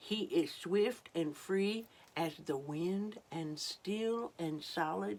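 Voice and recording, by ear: Reading aloud, the voice natural.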